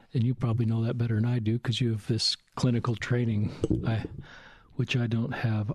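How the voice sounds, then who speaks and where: A man's medium-pitched, somewhat breathy voice at a moderate pace, with a dry, close sound and no echo. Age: 50s. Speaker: podcast host. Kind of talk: podcast interview. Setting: home recording.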